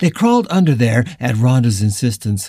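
A natural reading-aloud voice full of lively intonation

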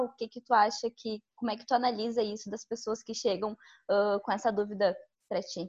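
At a moderate pace, a woman speaks in an unremarkable speaking voice with a fairly high pitch. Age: 20s. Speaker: journalist, co-host. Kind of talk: casual interview.

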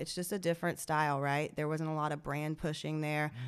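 In a Georgia accent, a woman talks with a very deep, low pitch. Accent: Southern US, Georgia. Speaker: guest, cannabis industry worker. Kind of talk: casual chat.

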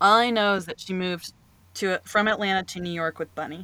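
A woman with an American accent in a bright, sharp tone at medium pitch, fairly quick and fairly even in intonation, in a very clean recording with a silent background. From US South, North Carolina. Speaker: podcast co-host. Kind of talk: casual chat.

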